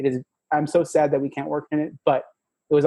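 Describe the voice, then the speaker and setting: Talking at a very fast pace, a man with a slight Spanish accent uses a fairly high pitch. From Mexico, small town. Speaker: tech product manager. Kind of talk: podcast interview. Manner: halting, many repetitions and fillers.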